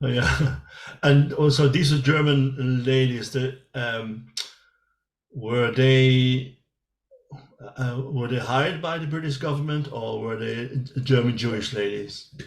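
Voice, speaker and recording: A man talks at a very slow pace and a medium pitch. His intonation stays fairly even. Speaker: interviewer. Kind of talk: interview questions.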